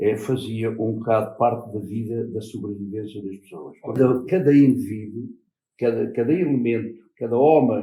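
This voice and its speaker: A man speaks at a moderate pace in a medium pitch, with ordinary pitch variation and big swings in loudness. His tone is dark and mellow and somewhat breathy. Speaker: former fisherman and farm worker. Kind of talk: interview. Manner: halting.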